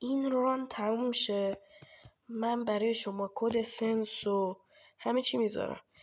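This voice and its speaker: A woman in a flat monotone, at a very slow pace. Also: fairly high pitch for a woman, very even loudness. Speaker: gaming streamer. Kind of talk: gameplay commentary. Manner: casual.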